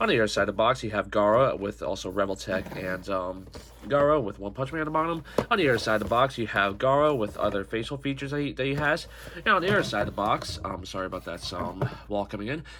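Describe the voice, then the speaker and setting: A man at medium pitch speaks at a very fast pace. His intonation is lively, and there is noticeable background noise. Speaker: toy reviewer. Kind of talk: product review. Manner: halting.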